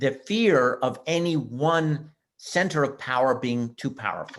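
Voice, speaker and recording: A man with a Montreal accent, fairly high in pitch, with lively intonation. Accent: Canadian English (Montreal). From Canada, Montreal, Quebec. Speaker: history professor. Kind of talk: webinar interview. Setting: online webinar. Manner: halting, with frequent repetitions.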